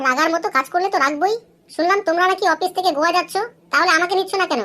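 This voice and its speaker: A woman speaks in a cartoonish character voice at an extremely high pitch. She talks very fast, her loudness very even throughout. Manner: sarcastic, scolding.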